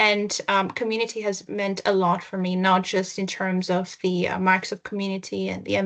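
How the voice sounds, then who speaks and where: A woman speaks at a medium pitch and a fairly quick pace. Her intonation is monotone and flat. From Greece/Italy (half Greek, half Italian). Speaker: technology consultant. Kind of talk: presentation.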